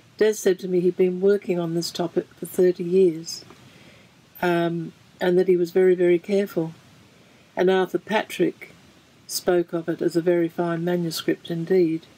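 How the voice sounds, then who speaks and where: A woman with a fairly low voice speaks in a flat monotone at a moderate pace, leaving long, frequent pauses, the sound dry and close with no echo but with noticeable background noise. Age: 70s. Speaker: wife of a theologian recounting church history. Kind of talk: personal testimony to camera. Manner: halting, with hesitations.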